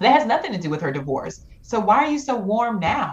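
A woman's fairly high voice swings very widely in pitch as noticeable background noise carries on behind her. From Georgia, US South. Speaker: podcast guest, Clubhouse moderator. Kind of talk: casual chat.

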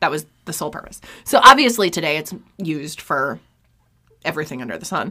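A woman with an American accent speaks at a very fast pace in a very deep, low voice. Her intonation is lively, with big swings in loudness and long, frequent pauses. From New York State. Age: 30s. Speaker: true crime podcast host. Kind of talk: casual chat and case narration.

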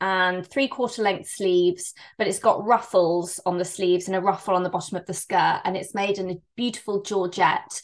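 A woman talks in a West Country accent. Her pace is moderate. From England, Bristol. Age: 30s. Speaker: fashion brand founder. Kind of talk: interview.

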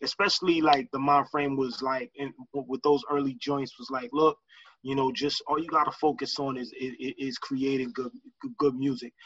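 With an American accent, a man speaks at a moderate pace in a fairly high pitch with fairly even intonation. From Lawrence, Massachusetts, US. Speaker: rapper. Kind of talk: casual interview. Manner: halting, many fillers and repeats.

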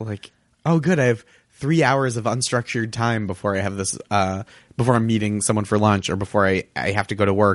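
An unremarkable speaking voice from a man with an American accent, fairly low in pitch with ordinary pitch variation, at a fairly quick pace, dry and close with no echo over a quiet background. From US Northeast, Boston. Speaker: comedian and TV writer. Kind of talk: casual chat.

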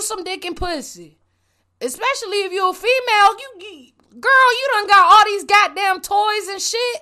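Raised and projected, a woman's voice reaches an extremely high pitch with a bright, sharp tone. She sounds animated, her intonation lively. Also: big swings in loudness. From Puerto Rican and Colombian heritage. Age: 20s. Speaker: podcast host. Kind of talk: solo rant monologue.

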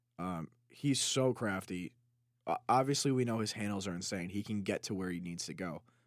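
With an American accent, a man speaks at a moderate pace with ordinary pitch variation. His is an unremarkable speaking voice. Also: very clean recording, silent background. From Chicago. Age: 20s. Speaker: sports podcast co-host. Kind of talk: casual chat.

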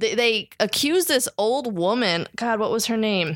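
A woman with an American accent in a plain, everyday voice, at a fairly slow pace with ordinary pitch variation, on a very clean recording with a silent background. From New Jersey. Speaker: stand-up comedian. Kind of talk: casual chat.

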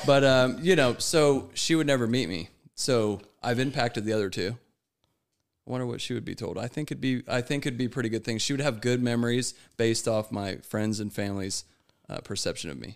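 A man with a normal speaking voice and an American accent talks at a fairly quick pace in a medium pitch with ordinary pitch variation, captured in a very clean recording with a silent background. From United States. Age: 30s. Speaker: guest in addiction recovery. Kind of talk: casual chat.

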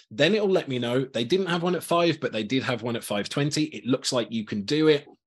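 At a moderate pace, a man with vocal fry speaks with very wide pitch swings. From Birmingham, England. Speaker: customer experience evangelist, former rock musician. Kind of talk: interview, conversational.

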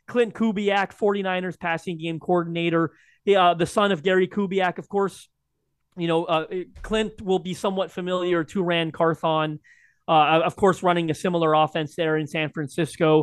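This man's voice sits high in pitch, and his intonation stays fairly even. He keeps a moderate pace. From Canada. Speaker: sports podcast co-host. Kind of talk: casual chat.

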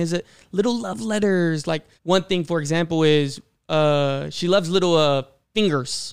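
A moderate pace with ordinary pitch variation. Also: man. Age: 20s. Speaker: podcast guest giving a male perspective. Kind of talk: casual chat. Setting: studio, sharing a mic with a host.

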